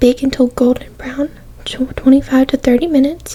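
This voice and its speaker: Someone whispers in a soft-spoken way against noticeable background noise. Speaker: ASMR creator. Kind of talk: ASMR magazine reading. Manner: soft-spoken, whispered.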